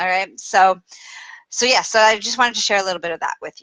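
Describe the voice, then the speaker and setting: In a Canadian accent, a woman with a medium pitch and bright, sharp tone sounds animated, her pitch varying in an ordinary way over a dry, close sound with no echo. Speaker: spiritual teacher. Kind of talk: casual livestream talk. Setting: Facebook live video.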